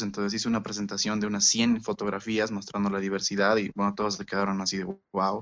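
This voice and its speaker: A man speaks at a very fast pace with hardly any pauses. His pitch is fairly low. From Bolivia. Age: 20s. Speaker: university student, former exchange student. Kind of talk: casual chat.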